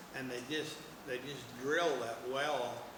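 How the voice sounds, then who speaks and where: A man with an American accent speaks at a fairly high pitch and fairly slow pace, with fairly even intonation, over noticeable background noise. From Oklahoma, USA. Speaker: oral history interviewee, farm family descendant. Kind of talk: oral history interview answer. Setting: museum interview.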